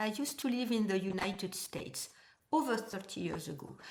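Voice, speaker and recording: Amid audible room echo and noticeable background noise, a woman speaks at a fairly high pitch and a moderate pace. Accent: French. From France. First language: French. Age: 60s. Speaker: knitting vlogger. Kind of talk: casual vlog talk. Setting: at home. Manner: halting, many hesitations.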